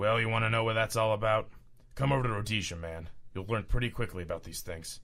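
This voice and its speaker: Very fast and raspy, a man's put-on character voice sits at a medium pitch with ordinary pitch variation. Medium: audio drama. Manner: swaggering, casual, says "man" a lot.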